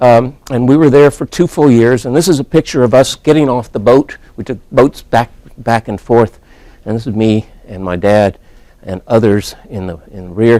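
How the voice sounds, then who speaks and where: Dark and mellow in tone, this man's voice sits at a medium pitch with an American accent and ordinary pitch variation. He talks at a moderate pace with big swings in loudness, and the sound is dry and close with no echo. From Texas, Wichita Falls. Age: 60s. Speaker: statistics professor. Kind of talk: informal lecture. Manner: casual, anecdotal.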